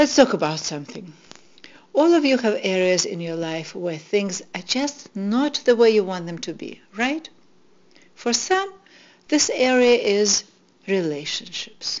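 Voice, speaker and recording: With a Russian accent, a woman speaks at a fairly slow pace in a fairly high pitch, leaving long, frequent pauses. Her pitch swings very widely, and her loudness rises and falls a great deal. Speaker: spiritual teacher. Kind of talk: inspirational talk.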